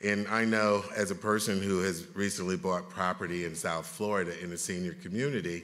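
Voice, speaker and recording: A bright, sharp voice moves at a moderate pace with audible room echo. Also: man. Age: 60s. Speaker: panel moderator, federal health official. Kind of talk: conference panel moderation. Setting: conference room with audience.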